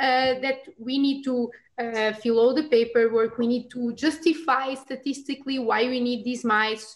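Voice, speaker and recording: Fairly even intonation from a woman with a high voice, at a moderate pace. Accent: Portuguese. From Portugal. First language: Portuguese. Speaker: immunology researcher. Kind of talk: casual expert discussion.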